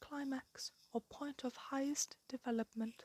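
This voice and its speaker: Quiet speech in a calm tone moves at a very slow pace. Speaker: ASMR creator. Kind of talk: ASMR explainer talk. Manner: calm, quiet.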